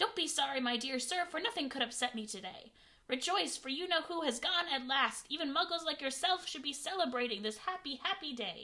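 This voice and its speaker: A woman's squeaky, high-pitched put-on character voice at a fairly quick pace. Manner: joyful, exuberant.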